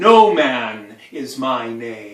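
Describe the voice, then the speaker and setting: A man puts on a character voice at a medium pitch, with a slight echo around him. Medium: stage play.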